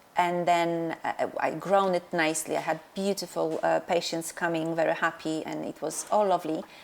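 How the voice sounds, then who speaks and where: A woman with a Polish accent speaks at a moderate pace with hardly any pauses. Her fairly low voice stays flat and monotone. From Poland. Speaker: dentist and practice owner. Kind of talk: interview. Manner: halting, many fillers.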